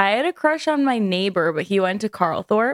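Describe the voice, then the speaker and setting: On a very clean recording with a silent background and a dry, close sound with no echo, a woman with an unremarkable speaking voice talks at medium pitch and a moderate pace. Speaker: podcast co-host. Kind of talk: casual chat. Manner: casual, talks over partner.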